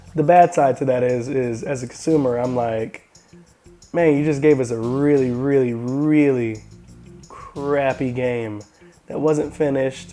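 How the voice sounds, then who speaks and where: Music plays in the background as a man speaks at a fairly slow pace. His intonation is fairly even. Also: medium pitch for a man. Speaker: tech and gaming video host. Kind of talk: casual talk to camera.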